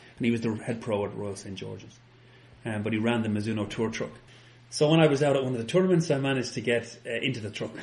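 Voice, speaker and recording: Over noticeable background noise, a man talks at a very fast pace with a medium pitch and ordinary pitch variation. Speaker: golf club fitter. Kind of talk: interview chat. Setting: fitting studio.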